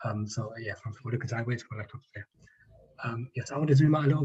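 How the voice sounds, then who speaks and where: Somewhat breathy and dark, mellow in tone, a man speaks with a strong London accent. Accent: thick Northwest London. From Northwest London. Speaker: activist speaker. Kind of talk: reading a prepared talk. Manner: fast.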